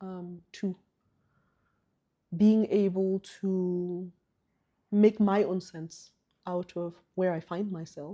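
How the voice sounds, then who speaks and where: A woman is speaking. Her tone is dark and mellow. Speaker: therapist and group facilitator. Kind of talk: interview. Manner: deliberately slowed pace; hesitant, many fillers.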